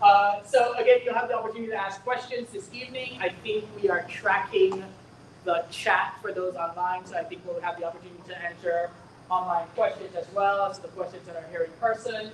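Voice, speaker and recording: Over noticeable background noise, a woman speaks fairly quickly at medium pitch, with ordinary pitch variation and big swings in loudness. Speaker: school district administrator. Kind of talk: community information meeting. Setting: in-person meeting, also streamed online.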